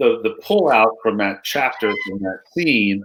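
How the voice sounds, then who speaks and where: With ordinary pitch variation, a man holds a medium pitch. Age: 50s. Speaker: storytelling consultant and author. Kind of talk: interview answer.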